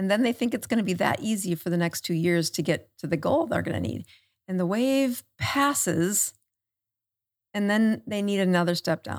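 A woman talks at a moderate pace in a normal speaking voice, medium in pitch with lively intonation. The recording is very clean, with a silent background. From South Dakota, US Midwest. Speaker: medical doctor. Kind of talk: podcast interview. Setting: studio.

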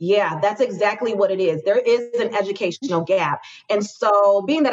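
A woman with an ordinary speaking voice talks at a moderate pace, her medium pitch rising and falling in an ordinary way. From Chicago. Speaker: business consultant, former nurse practitioner. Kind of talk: interview.

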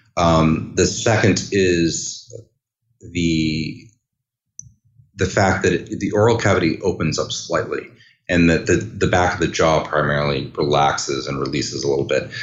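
Audible room echo carries a man's very deep, low voice. He speaks at a moderate pace with ordinary pitch variation. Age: 40s. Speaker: orchestral clarinetist. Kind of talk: interview. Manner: halting.

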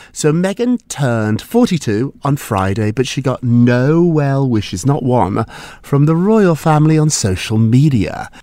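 Using lively intonation and a dark, mellow tone, a man with a fairly high pitch speaks at a fairly slow pace. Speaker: entertainment news podcast co-host. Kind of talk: casual chat.

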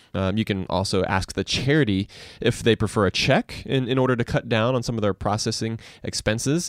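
A man at a medium pitch and fairly quick pace with ordinary pitch variation, in a very clean recording with a silent background and a dry, close sound with no echo. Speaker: personal finance podcast co-host. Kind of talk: casual chat. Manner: fast.

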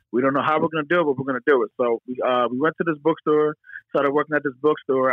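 A man's fairly high voice in a Philadelphia accent, very fast in pace, with ordinary pitch variation. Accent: Philadelphia-area American English. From Pennsylvania, Philadelphia area. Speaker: business founder. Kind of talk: interview. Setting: phone call.

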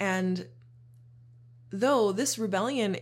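A woman speaks with a somewhat breathy voice and very wide pitch swings, captured in a very clean recording with a silent background. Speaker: podcast host on shadow work. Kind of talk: solo monologue podcast. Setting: home studio. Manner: casual, conversational.

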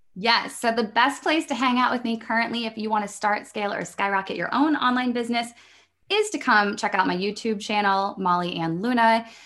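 A woman with a Midwestern American accent, fairly high in pitch, bright and sharp in tone, with ordinary pitch variation over a quiet background. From US Midwest. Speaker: online business coach. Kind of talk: interview conversation.

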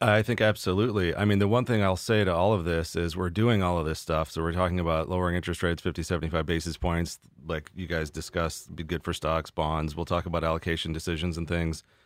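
Speaking very fast with hardly any pauses, a man with a very deep, low pitch keeps his intonation fairly even on a very clean recording with a silent background. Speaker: investment committee member. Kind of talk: casual market discussion.

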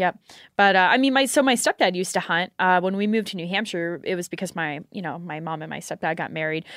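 In an American accent, a woman talks at a very fast pace with ordinary pitch variation and a medium pitch, in a very clean recording with a silent background and a dry, close sound with no echo. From Houston, Texas. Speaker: competitive shooter and gun shop worker. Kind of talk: casual chat.

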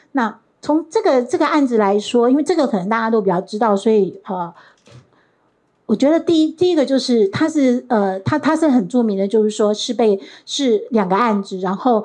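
The woman has a fairly high, dark, mellow voice. Her intonation is lively. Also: moderate pace. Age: 60s. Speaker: professor. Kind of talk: lecture. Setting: stage with audience.

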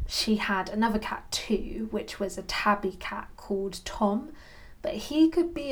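Speaking at a fairly slow pace, a woman uses a fairly high, somewhat breathy voice with ordinary pitch variation. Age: 30s. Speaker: podcast host, cat sitting business owner. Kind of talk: solo podcast monologue, partly scripted.

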